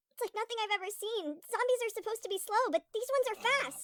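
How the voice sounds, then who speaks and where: In a put-on character voice, a woman talks at a very fast pace with an extremely high, squeaky pitch and ordinary pitch variation, recorded dry and close with no echo. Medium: cartoon.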